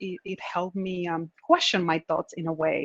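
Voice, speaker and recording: A woman speaks at a moderate pace with a Spanish accent, her voice dry and close with no echo over a quiet background. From Dominican Republic. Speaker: tech manager. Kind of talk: panel discussion.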